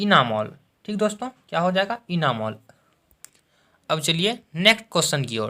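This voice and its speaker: This man's voice sits high for a man, with a bright, sharp tone and very wide pitch swings. He leaves long, frequent pauses. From Bihar, India. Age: 20s. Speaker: teacher. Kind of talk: exam-prep lesson to camera.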